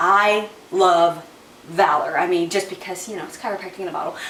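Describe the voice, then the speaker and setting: Audible room echo and noticeable background noise around a woman speaking. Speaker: essential oils vlogger. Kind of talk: casual product tutorial. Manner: fast; chatty, many fillers.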